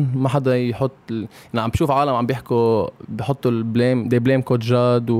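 A man talks in a flat, monotone way at a moderate pace. He hardly pauses at all. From Lebanon. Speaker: professional basketball player. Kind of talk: casual interview. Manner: code-switching Arabic and English.

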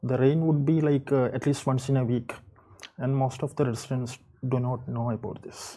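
Speaking in an Indian accent at a moderate pace, a man has a somewhat breathy, dark, mellow voice of medium pitch with monotone, flat intonation. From India, Kerala. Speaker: storm chaser, weather enthusiast. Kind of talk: interview. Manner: halting.

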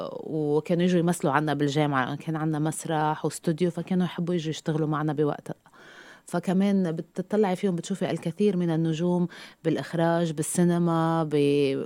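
A woman speaks with a dark, mellow tone and fairly even intonation on a very clean recording with a silent background. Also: fairly low pitch for a woman, moderate pace. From Lebanon. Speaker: TV news presenter and university lecturer. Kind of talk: interview, personal story.

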